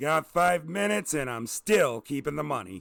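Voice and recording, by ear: A man puts on a character voice that sits fairly high in pitch, with a fairly bright tone, lively intonation, vocal fry and a moderate pace.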